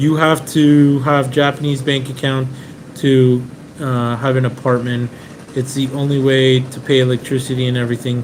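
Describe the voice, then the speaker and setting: A man's medium-pitched, monotone voice with flat intonation at a moderate pace, over noticeable background noise. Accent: American. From Venezuela, raised in the US from age seven. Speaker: car importer, live stream host. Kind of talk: live stream Q&A chat. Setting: Airbnb in Japan, live stream. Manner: casual, with frequent fillers.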